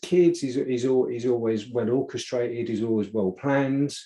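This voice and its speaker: At a moderate pace, a man speaks with a dark, mellow tone. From Essex, England. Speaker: podcast host. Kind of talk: casual conversation. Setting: video call. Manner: halting, many repetitions.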